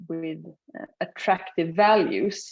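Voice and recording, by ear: Slowly, a woman speaks with a slightly mellow tone. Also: fairly low pitch for a woman, ordinary pitch variation.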